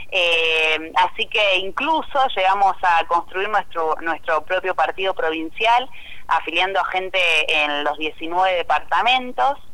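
A woman with an Argentine accent, medium in pitch with ordinary pitch variation, at a very slow pace amid noticeable background noise. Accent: Rioplatense Argentine Spanish. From Argentina, Santa Fe province (Cañada de Gómez). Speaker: provincial legislator. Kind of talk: interview. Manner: halting, many repetitions and fillers.

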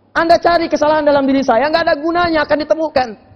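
Very fast, animated delivery. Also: man. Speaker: Islamic preacher. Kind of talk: sermon. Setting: mosque, live audience.

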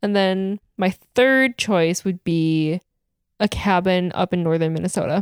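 In a very clean recording with a silent background and a dry, close sound with no echo, a woman with an American accent speaks at a fairly slow pace. She has a normal speaking voice, a medium pitch with ordinary variation, and very even loudness. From Wisconsin, West Bend area. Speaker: podcast co-host. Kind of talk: casual chat.

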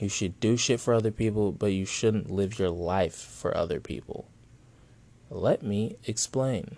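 This man has a fairly low pitch, a dark, mellow tone and some vocal fry, with ordinary pitch variation. He speaks at a fairly slow pace against a quiet background. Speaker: podcast host. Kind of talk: casual profane rant-style monologue. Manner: rambling, digressive, self-interrupting; blunt, sarcastic, heated, angrily ranting with swearing.

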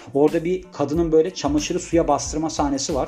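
Very fast talking from a man with a fairly high pitch, over noticeable background noise. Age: 30s. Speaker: podcast host. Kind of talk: casual monologue.

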